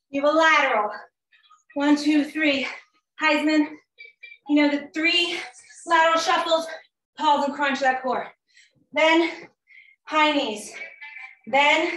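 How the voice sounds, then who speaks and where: A high-pitched woman with a bright, sharp tone and fairly even intonation, at a very slow pace with long, frequent pauses, in audible room echo. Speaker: fitness instructor. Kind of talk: workout instruction and counting. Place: home room. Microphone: video call.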